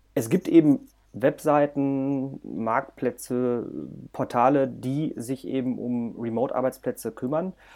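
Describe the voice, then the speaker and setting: A dark, mellow tone carries fairly even intonation at a very slow pace. The recording is very clean, with a silent background. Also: man, medium pitch for a man. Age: 30s. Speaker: project manager. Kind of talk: casual chat.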